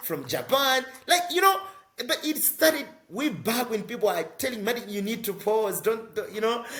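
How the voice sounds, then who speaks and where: A man's high-pitched voice with very wide pitch swings, over noticeable background noise. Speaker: social entrepreneur and climate advocate. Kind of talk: interview. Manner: fast.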